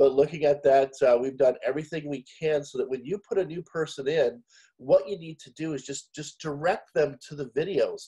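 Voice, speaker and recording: With a Canadian accent, a man speaks in a fairly high, somewhat breathy voice of dark, mellow tone, using fairly even intonation, big swings in loudness and hardly any pauses. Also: moderate pace. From Canada. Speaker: business co-op host presenting to members. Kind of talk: live online business update. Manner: casual, with frequent fillers and restarts.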